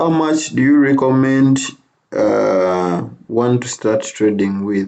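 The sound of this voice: A man's slightly mellow tone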